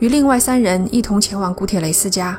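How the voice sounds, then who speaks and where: With music in the background, a woman speaks in a dramatic tone. Her pace is moderate and her pitch varies in an ordinary way. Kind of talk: scripted ghost story narration. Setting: studio. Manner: hushed, suspenseful storytelling pace; measured, building tension, dramatic emphasis.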